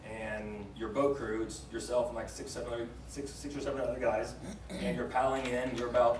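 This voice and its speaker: Fairly quick in pace, a man with an American accent speaks amid audible room echo and noticeable background noise. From Texas. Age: 30s. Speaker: former Navy special forces operator. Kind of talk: interview storytelling. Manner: casual, with many fillers.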